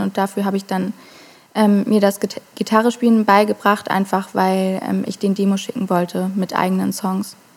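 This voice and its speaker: Monotone, flat intonation marks this woman's medium-pitched voice at a moderate pace. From Germany, Hamburg. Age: 20s. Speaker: singer-songwriter. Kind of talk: casual interview.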